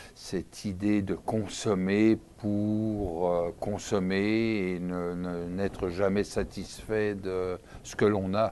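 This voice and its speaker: A dark, mellow tone at a very slow pace with monotone, flat intonation. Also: man, fairly low pitch for a man. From France, Paris. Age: 60s. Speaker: interview guest. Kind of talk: interview. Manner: hesitant, many fillers.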